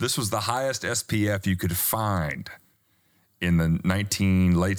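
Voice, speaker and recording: Speaking with a Southern US accent, a man with a very deep, low pitch talks at a moderate pace with ordinary pitch variation, on a very clean recording with a silent background. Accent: American Southern-sounding. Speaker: skincare company founder. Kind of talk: interview.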